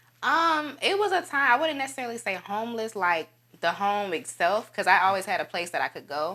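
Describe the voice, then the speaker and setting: A woman's fairly high, bright, sharp voice with an Alabama accent, very wide pitch swings and a fairly quick pace. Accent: Southern US (Alabama). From US South, Dothan, Alabama. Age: 20s. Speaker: actress. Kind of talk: casual interview.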